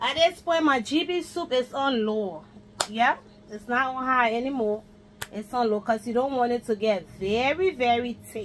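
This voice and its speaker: A woman speaks at a high pitch and a moderate pace. Light background noise can be heard. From Liberia. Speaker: home cook video blogger. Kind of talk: cooking tutorial. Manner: casual. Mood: playful, relaxed. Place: kitchen. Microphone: phone near.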